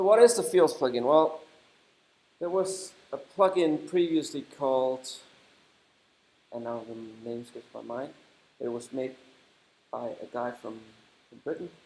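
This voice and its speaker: A man with a Danish accent, a dark, mellow tone and fairly high pitch, lively intonation at a fairly slow pace, long, frequent pauses and big swings in loudness. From Denmark. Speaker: software developer and conference speaker. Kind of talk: conference talk. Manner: halting.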